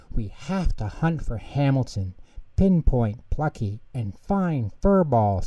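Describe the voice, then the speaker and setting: A man puts on a character voice at medium pitch. He goes at a fairly slow pace. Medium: read story.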